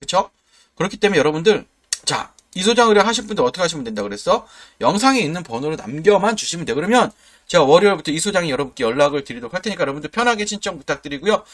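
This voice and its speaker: A man with a high pitch, very wide pitch swings and a very fast pace. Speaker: stock market YouTuber. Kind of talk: sales pitch. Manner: animated; emphatic.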